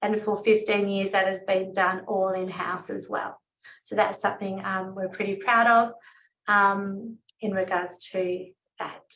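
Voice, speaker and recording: In an Australian accent, a woman with a medium pitch speaks at a fairly slow pace with monotone, flat intonation. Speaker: financial advisor. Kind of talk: webinar presentation.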